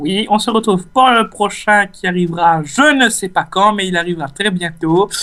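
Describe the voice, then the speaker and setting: A man's high-pitched, raised and projected voice with a Réunion accent, bright and sharp in tone, at a moderate pace with ordinary pitch variation and hardly any pauses. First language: Réunion Creole (speaking French). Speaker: gaming YouTuber. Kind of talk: casual let's play commentary. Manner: hesitant, many fillers.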